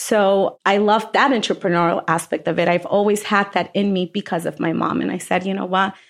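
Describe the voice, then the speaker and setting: An unremarkable speaking voice from a woman, medium in pitch, against a quiet background. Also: fairly even intonation, fairly quick pace, hardly any pauses. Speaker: restaurant owner. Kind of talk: interview.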